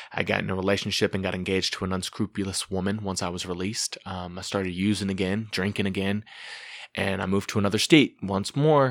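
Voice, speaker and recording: An ordinary speaking voice with fairly even intonation at a fairly quick pace, on a very clean recording with a silent background. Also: man. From Texas, Junction. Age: 30s. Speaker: recovered addict. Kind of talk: testimony.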